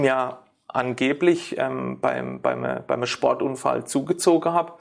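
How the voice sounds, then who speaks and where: A man speaks with a fairly high pitch. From Ortenau, Baden-Württemberg, Germany. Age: 40s. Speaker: sports therapist. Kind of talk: interview. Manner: halting, many fillers.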